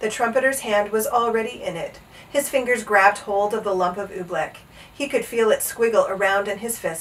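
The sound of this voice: The voice is an unforced reading voice. Its pitch varies in an ordinary way.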